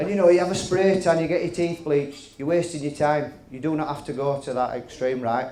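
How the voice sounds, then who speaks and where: With a Yorkshire accent, a man speaks at a fairly quick pace with hardly any pauses, his pitch fairly high, his pitch variation ordinary, amid noticeable background noise and audible room echo. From West Yorkshire, England (Halifax). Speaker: comedian. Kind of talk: stand-up. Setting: stage with audience.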